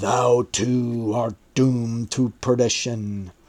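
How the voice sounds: This man uses a put-on character voice at medium pitch. He speaks very slowly with monotone, flat intonation.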